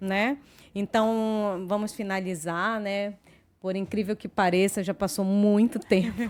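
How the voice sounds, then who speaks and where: Fairly even intonation at a very slow pace. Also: woman, medium pitch for a woman, very clean recording, silent background. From Brazil, Belém do Pará. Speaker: podcast host. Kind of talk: casual chat. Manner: hesitant fillers.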